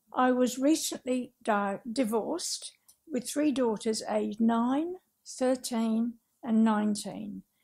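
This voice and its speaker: Speaking very slowly with an Australian accent, a woman has a fairly high pitch and a dark, mellow tone, captured on a very clean recording with a silent background. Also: ordinary pitch variation. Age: 60s. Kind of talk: public talk. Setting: talk venue with audience. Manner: careful reading from script; simple vocabulary, effortful speech.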